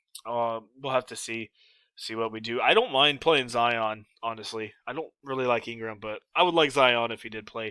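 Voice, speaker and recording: Speaking at a moderate pace, a man with a normal speaking voice keeps a medium pitch and fairly even intonation. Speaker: sports betting advice youtuber. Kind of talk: casual solo video commentary. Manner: casual, filler-heavy.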